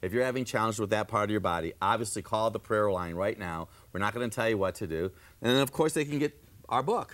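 On a very clean recording with a silent background, a man with fairly low pitch talks at a very fast pace. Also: ordinary pitch variation. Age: 60s. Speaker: natural health doctor. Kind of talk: TV health talk show.

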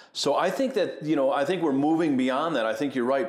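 Lively intonation in an American accent, with audible room echo. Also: man. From US Northeast, Buffalo, New York. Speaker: ministry executive and former pastor. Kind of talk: interview conversation. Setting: at a conference venue.

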